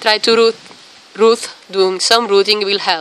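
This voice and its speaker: A woman with a non-native accent speaks at a fairly slow pace. Her pitch is medium. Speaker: qigong and Taoist practice teacher. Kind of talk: tutorial. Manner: halting.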